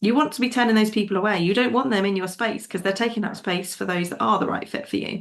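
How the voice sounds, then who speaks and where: A woman with an English accent speaks at a very fast pace. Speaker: business coach podcast host. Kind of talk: solo podcast monologue. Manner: animated.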